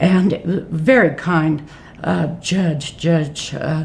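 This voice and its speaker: Against noticeable background noise, a woman with an American accent speaks in a very deep, low pitch with monotone, flat intonation. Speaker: retired judge. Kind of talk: oral history interview.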